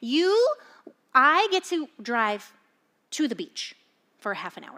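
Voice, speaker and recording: A woman's high-pitched, bright, sharp voice, animated and raised to project, with big swings in loudness, very wide pitch swings and long, frequent pauses. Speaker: pastor. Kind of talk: sermon.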